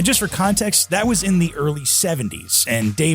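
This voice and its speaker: With music in the background, a man speaks at a moderate pace in a fairly high pitch that swings very widely. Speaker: podcast host. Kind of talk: podcast intro narration.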